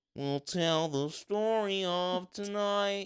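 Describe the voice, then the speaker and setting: Very slowly and in a high pitch, a man performs a put-on character voice on a very clean recording with a silent background. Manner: playful, puppet-like.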